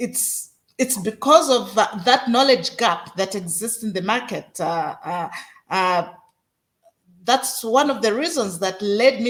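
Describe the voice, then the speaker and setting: Fairly high in pitch with lively intonation, a woman speaks at a fairly slow pace in an unremarkable speaking voice. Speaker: podcast host. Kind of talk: podcast interview host.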